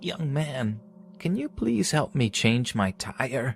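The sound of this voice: A man puts on a character voice at a medium pitch, speaking fairly slowly with lively intonation.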